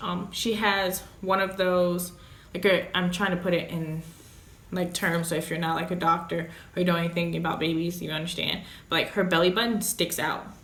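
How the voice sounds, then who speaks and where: Audible room echo and noticeable background noise fill the recording. A woman with a fairly low voice talks at a moderate pace. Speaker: vlogger, mother of premature baby. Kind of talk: casual storytelling vlog. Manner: loud; animated.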